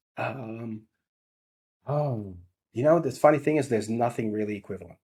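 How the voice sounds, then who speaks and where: A man's medium pitch with a dark, mellow tone and ordinary pitch variation. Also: moderate pace. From Australia, born in Moldova. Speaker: entrepreneur. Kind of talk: interview. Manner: hesitant, many fillers and repeats.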